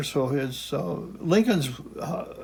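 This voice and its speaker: A man with a fairly high pitch talks in a space with audible room echo. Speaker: retired geography professor. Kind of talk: casual lecture. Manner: halting, many fillers and restarts.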